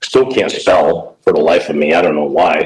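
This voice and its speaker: A man speaks with a Chicago accent. His pace is moderate. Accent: Chicago American English. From Chicago, US Midwest. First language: Italian. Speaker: baseball coach. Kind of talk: casual interview.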